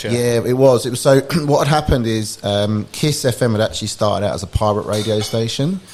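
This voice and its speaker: A man talks at a fairly quick pace with hardly any pauses, his medium-pitched voice showing ordinary pitch variation. Noticeable background noise is present. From England (London area). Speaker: startup founder. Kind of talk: podcast interview. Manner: casual, with many fillers and restarts.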